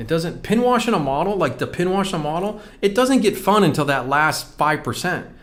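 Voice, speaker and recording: A man talks at a fairly quick pace with very wide pitch swings, and the room echo is audible. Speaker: scale model painting instructor. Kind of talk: live stream tutorial. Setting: live stream. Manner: casual, fast, self-correcting.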